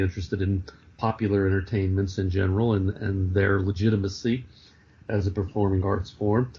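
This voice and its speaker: Speaking at a moderate pace with an American accent, a man uses a fairly low pitch, monotone, flat intonation and a somewhat breathy delivery. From New York City, Greenwich Village. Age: 60s. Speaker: author and clown performer. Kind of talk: interview. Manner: halting, many fillers.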